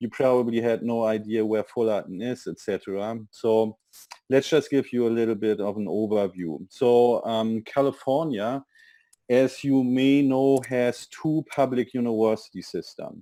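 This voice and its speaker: In a German accent, a man talks at a moderate pace and medium pitch, with a dark, mellow tone and ordinary pitch variation. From Germany. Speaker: university international admissions representative. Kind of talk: webinar presentation.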